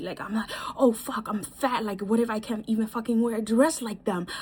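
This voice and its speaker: Over noticeable background noise, a woman talks in an animated tone at a fairly high pitch. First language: not English. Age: 20s. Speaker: vlogger. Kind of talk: casual advice monologue. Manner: halting.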